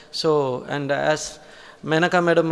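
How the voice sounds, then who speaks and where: A man speaks with a Tamil Nadu accent. His pitch is fairly high and his intonation fairly even. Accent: Tamil Indian English. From Tamil Nadu, India. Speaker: college principal or senior academic. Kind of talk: formal conference address. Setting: auditorium conference with audience. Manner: hesitant, many fillers.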